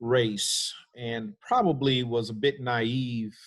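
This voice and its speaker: A man's voice, medium in pitch. He speaks with an American accent. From US Midwest, Cleveland, Ohio. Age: 60s. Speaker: pastor. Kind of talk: panel discussion.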